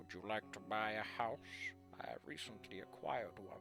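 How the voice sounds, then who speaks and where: A man's put-on character voice, guttural and strained, at a fairly low pitch and moderate pace, with clear music in the background. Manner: trying his best, awkward.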